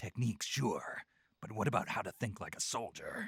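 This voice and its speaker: In a put-on character voice, a man speaks at a medium pitch and a moderate pace, the sound dry and close with no echo. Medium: video game. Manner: terse, dry.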